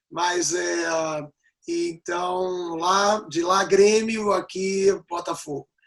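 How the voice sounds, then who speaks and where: Speaking at a very slow pace, a man with a high voice keeps his intonation fairly even. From Rio Grande do Sul, raised in Rio de Janeiro from age six. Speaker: rabbi and writer. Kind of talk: interview on a talk show. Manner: halting, with many fillers.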